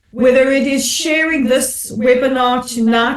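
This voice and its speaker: A woman speaks at a high pitch with a South African accent. Her pitch varies in an ordinary way. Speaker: commentator and broadcaster. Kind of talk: panel discussion. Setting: webinar.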